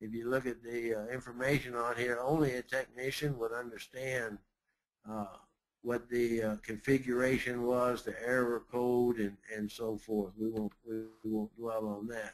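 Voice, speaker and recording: This man's medium-pitched voice stays monotone and flat while he talks at a moderate pace. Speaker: crane industry expert, webinar guest speaker. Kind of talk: webinar presentation. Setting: live webinar. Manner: hesitant, many fillers.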